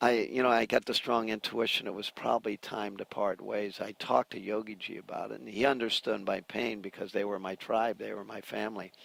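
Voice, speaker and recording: A man talks at a fairly quick pace with hardly any pauses, a fairly low pitch, vocal fry, and fairly even intonation. His loudness swings widely, and the sound is dry and close with no echo. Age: 60s. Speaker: musician and yoga teacher. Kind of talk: interview. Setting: outdoors.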